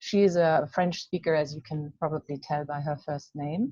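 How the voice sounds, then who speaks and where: Against a quiet background, a woman speaks in a German accent with a dark, mellow tone. Her pace is moderate. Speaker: coaching association president. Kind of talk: webinar hosting. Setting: video call webinar. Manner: halting.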